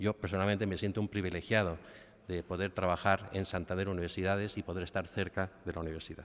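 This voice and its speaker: Very fast and very deep, a man's voice comes in a low pitch. His intonation is monotone and flat. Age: middle-aged. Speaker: bank executive; guest. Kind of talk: formal speech. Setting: university auditorium with audience. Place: hall. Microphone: podium.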